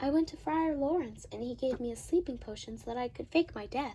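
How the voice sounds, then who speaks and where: A female-sounding put-on character voice, high in pitch, moves along at a fairly quick pace. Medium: stage play. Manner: light, joking.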